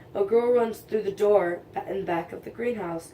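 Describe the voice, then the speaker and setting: A woman puts on a raspy character voice at a medium pitch. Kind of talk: casual fan fiction reading. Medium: read story. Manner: casual, stumbling over words.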